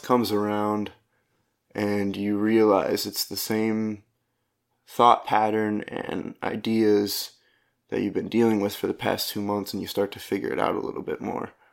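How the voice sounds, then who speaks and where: A man's monotone, flat delivery at a fairly slow pace, broken by long, frequent pauses, in a very clean recording with a silent background. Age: 20s. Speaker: podcast host and stand-up comedian. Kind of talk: casual solo monologue. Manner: rambling, halting.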